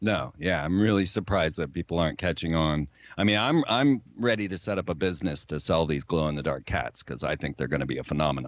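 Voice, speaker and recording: A man's very deep, low voice with vocal fry and lively intonation, at a very fast pace with hardly any pauses, on a very clean recording with a silent background. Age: 50s. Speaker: conspiracy theorist and filmmaker. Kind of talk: interview.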